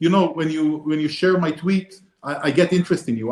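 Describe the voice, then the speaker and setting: A man talks at a fairly quick pace. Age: 50s. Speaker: ambassador. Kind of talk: webinar panel discussion. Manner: halting.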